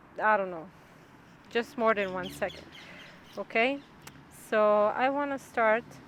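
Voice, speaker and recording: A woman with a non-native accent and a fairly high pitch, at a fairly slow pace with ordinary pitch variation and long, frequent pauses. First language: Hebrew. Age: 30s. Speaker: yoga instructor and personal trainer. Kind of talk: casual explanatory talk. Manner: halting, translating on the fly.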